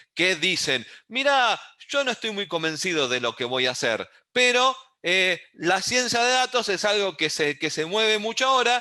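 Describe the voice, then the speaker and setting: This man's raised, projected voice sits high in pitch, with a bright, sharp tone and very wide pitch swings. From Uruguay. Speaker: university lecturer in data science. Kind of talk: online lecture.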